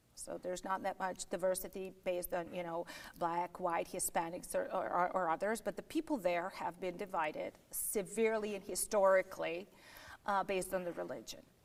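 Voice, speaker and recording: The woman's voice sits at a medium pitch. She talks at a fairly quick pace. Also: ordinary pitch variation. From Yugoslavia. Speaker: political candidate and lawyer. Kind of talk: political interview. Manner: firm, insistent.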